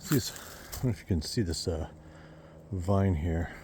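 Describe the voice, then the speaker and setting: A man's very deep, low voice, dark and mellow and somewhat breathy, at a moderate pace with ordinary pitch variation. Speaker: vlogger on own land. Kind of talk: casual walk-and-talk vlog. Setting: outdoors on a hike. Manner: whispering at times.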